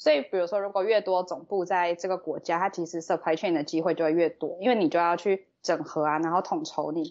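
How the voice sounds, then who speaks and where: A woman with a normal speaking voice talks at a fairly quick pace in a fairly low pitch, with fairly even intonation and hardly any pauses. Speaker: graduate student. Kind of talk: casual chat.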